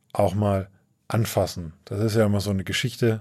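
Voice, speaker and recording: A man's fairly low, monotone voice with flat intonation at a fairly slow pace. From Upper Franconia, Coburg. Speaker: podcast host, editor. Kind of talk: casual chat. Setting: studio in Bamberg.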